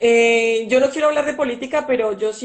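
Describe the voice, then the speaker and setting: The woman's voice runs high, and her intonation stays fairly even. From Colombia, Valle del Cauca. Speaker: intensive care physician. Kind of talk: interview.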